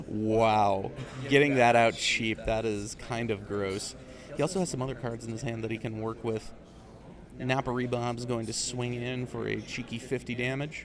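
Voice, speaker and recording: A man's voice with fairly even intonation over noticeable background noise. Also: medium pitch for a man. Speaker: card game tournament caster. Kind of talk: live commentary. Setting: tournament venue close to players. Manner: deliberately not loud, restrained volume.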